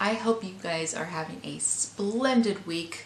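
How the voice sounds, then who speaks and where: A woman with a medium pitch and ordinary pitch variation talks through noticeable background noise and audible room echo. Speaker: book reviewer. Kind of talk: casual book review vlog. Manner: halting.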